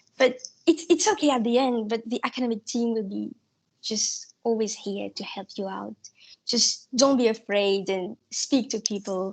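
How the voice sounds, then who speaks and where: A woman speaks with a non-native accent at a fairly slow pace. Her pitch is fairly high, with ordinary variation. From Mauritius. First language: not English. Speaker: student election candidate. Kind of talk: election hustings answer.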